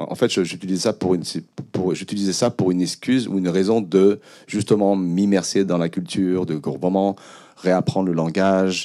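A man speaks at a very deep, low pitch in a dark, mellow tone with fairly even intonation. The background is quiet. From Cambodia. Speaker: filmmaker and musician. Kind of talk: panel talk. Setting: stage with audience. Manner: halting. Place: hall. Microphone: handheld.

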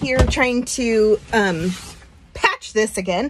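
A woman talks with ordinary pitch variation. There is light noise in the background. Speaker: vacation rental host. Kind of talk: casual vlog chat. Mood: mildly frustrated, grossed out. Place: bathroom. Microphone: phone near.

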